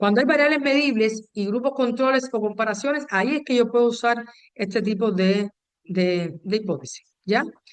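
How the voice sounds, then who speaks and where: A woman with a fairly high pitch, a plain, everyday voice, a moderate pace, and ordinary pitch variation. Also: very even loudness. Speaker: university lecturer. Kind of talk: lecture. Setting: video call.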